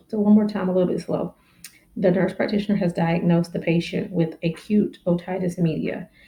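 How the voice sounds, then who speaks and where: A woman speaks at medium pitch in a plain, everyday voice. Her pace is fairly quick and her intonation fairly even. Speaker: family nurse practitioner. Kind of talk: educational exam-prep teaching to camera. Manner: casual, friendly.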